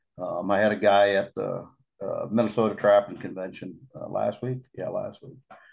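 With faint music in the background, a man with an American accent talks at a moderate pace, his loudness swinging widely. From Iowa. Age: 50s. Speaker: lure maker and trap builder; podcast guest. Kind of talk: casual chat. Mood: relaxed storytelling. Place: home room. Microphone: video call.

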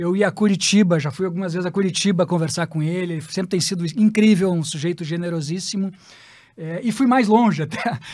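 A man's high voice with ordinary pitch variation against a quiet background. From Porto Alegre, southern Brazil; Rio Grande do Sul, Brazil. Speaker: tax lawyer; podcast guest, tax lawyer. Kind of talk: interview storytelling. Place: studio. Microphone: studio mic.

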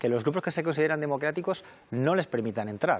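Here a man is talking. His delivery is fairly quick. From Spain. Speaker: politician, election candidate; candidate. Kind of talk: televised political debate. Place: studio. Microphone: lapel.

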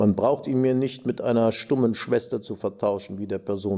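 Dark, mellow male tone over a quiet background. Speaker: actor. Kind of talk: reading aloud. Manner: formal. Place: stage.

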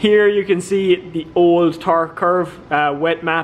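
A man with an Irish accent, high-pitched and very slow, in a monotone, flat delivery. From Ireland. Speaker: car vlogger, drift driver; car vlogger. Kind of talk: casual vlog narration. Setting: dyno room at tuning workshop. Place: workshop. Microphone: phone near.

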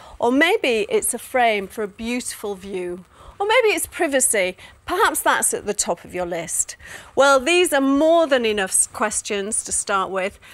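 The woman's voice sits high and swings very widely in pitch. She speaks at a fairly slow pace. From UK. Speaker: interior designer and TV presenter. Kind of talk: corporate customer advice presentation to camera. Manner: friendly, chatty, upbeat. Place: studio. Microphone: lapel.

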